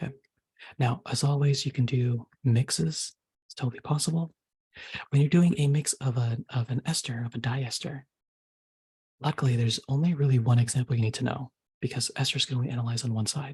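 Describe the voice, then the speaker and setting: Soft-spoken, somewhat breathy man at a medium pitch, fairly quick pace with long, frequent pauses, ordinary pitch variation, and a dry, close sound with no echo. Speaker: chemistry tutor. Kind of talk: tutorial.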